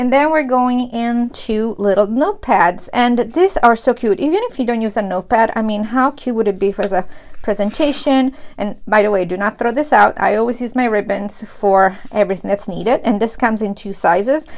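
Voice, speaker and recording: A woman's fairly high voice at a fairly quick pace, hardly any pauses, ordinary pitch variation and a quiet background. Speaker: planner youtuber. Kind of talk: unboxing tutorial. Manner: animated. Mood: enthusiastic, warm.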